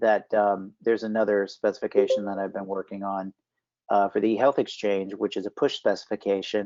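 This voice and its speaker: Against a quiet background, a man with a fairly low pitch talks at a fairly quick pace in a flat monotone. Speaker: health data standards specialist; presenter. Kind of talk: work meeting presentation. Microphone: video call.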